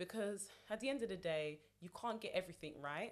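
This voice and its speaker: Here is a woman with an ordinary speaking voice. Her medium pitch carries lively intonation. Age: 30s. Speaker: amateur boxer and PR account director. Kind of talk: casual chat.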